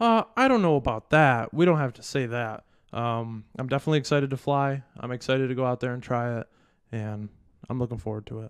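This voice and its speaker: A man speaks at a fairly quick pace in a normal speaking voice, medium in pitch with ordinary pitch variation and big swings in loudness, recorded dry and close with no echo against a quiet background. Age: 20s. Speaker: podcast co-host. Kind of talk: casual chat.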